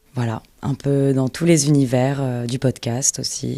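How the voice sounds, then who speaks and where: Speaking at a very slow pace, a woman has a very deep, low pitch, a dark, mellow tone and fairly even intonation. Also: big swings in loudness. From Var, southern France. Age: 20s. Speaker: voice-over actress. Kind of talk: interview answer. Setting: studio.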